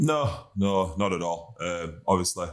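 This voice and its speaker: On a very clean recording with a silent background, a man with a West Yorkshire accent speaks in a very deep, low voice. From Huddersfield, West Yorkshire, northern England. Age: 30s. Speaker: professional rugby league player. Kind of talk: casual chat.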